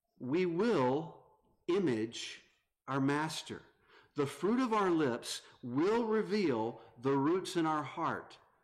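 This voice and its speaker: A man with a Southern US accent and a fairly high pitch speaks at a very slow pace with very wide pitch swings, very even loudness, long, frequent pauses and audible room echo. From North Carolina. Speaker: visiting preacher. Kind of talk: sermon.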